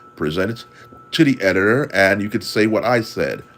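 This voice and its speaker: With music in the background, a speaker with an American accent talks at a moderate pace. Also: man. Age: 60s. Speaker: caricature artist and marketing consultant. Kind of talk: livestream tutorial talk. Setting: livestream. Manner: halting, repeats words.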